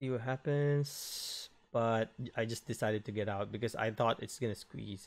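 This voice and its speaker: In an ordinary speaking voice, a man talks at a moderate pace with ordinary pitch variation on a very clean recording with a silent background. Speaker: day trader. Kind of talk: trading recap voiceover.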